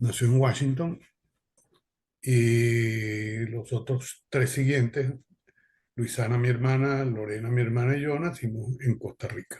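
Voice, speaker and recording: Somewhat breathy, a medium-pitched man speaks at a very slow pace, with long, frequent pauses. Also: fairly even intonation. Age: 70s. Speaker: son of political exiles, panelist. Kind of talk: personal testimony in panel.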